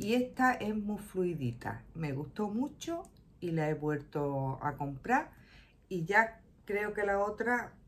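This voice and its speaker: A woman speaks at a very slow pace. Her pitch swings very widely. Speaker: shopping vlogger. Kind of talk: casual vlog chat. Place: home room. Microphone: phone near.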